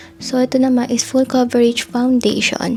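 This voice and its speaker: Music runs in the background as a woman speaks at a fairly quick pace. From Philippines. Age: 20s. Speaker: lifestyle vlogger. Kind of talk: casual vlog, product haul.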